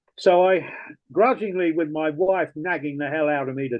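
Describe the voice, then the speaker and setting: Ordinary pitch variation from a man with an English accent. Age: 70s. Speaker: retired rock DJ. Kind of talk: interview.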